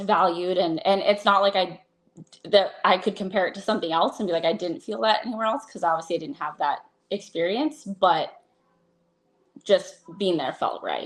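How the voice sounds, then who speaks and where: Using an unremarkable speaking voice, a woman talks at a moderate pace in a medium pitch with ordinary pitch variation. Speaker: AEW ring announcer. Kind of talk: podcast interview answer.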